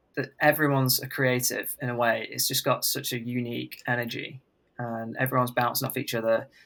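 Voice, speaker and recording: A man speaks in an English accent at a medium pitch and a moderate pace. His tone is bright and sharp. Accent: English accent when speaking. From England. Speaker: country singer-songwriter. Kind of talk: casual interview chat.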